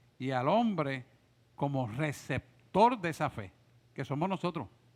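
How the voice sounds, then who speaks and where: Here a man is heard on a very clean recording with a silent background. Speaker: pastor teaching a discipleship class. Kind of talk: bible study class. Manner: animated.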